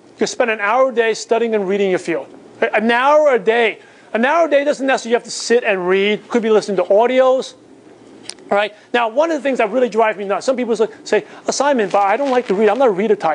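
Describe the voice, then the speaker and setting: Speaking very fast with a Chinese accent, a man uses an extremely high pitch with ordinary pitch variation. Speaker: business coach. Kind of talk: motivational seminar talk.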